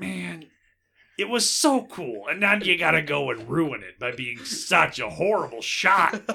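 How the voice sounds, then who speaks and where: A man puts on a raspy character voice, pitched fairly high, with very wide pitch swings and a moderate pace. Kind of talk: comic character voice. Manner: exasperated, complaining.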